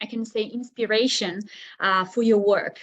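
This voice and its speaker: A woman speaks with fairly even intonation. Her pitch is fairly high. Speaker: tourism destination presenter. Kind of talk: webinar presentation. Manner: halting.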